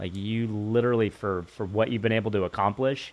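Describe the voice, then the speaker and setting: A man talks at a fairly quick pace in a normal speaking voice, fairly low in pitch, with fairly even intonation. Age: 50s. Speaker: podcast host. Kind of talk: interview.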